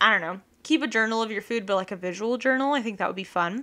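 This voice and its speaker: A woman speaks with a fairly high pitch and a bright, sharp tone. The recording is very clean, with a silent background. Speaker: podcast host and illustrator. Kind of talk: casual solo podcast monologue. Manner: fast; rambling, filler-heavy.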